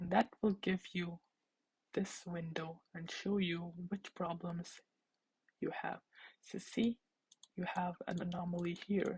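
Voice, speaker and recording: Speaking very slowly with long, frequent pauses, a woman with a fairly low pitch sounds somewhat breathy and uses monotone, flat intonation. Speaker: teaching assistant. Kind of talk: tutorial.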